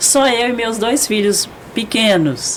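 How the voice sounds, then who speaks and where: Noticeable background noise sits under a woman speaking at a very slow pace with ordinary pitch variation. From Brazil, Goiás (Goiânia). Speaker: lawyer. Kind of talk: casual chat.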